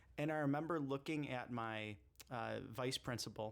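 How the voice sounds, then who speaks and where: A man with a normal speaking voice talks at a moderate pace with ordinary pitch variation. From US Midwest, Chicago area. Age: 30s. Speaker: political candidate. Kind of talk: casual interview.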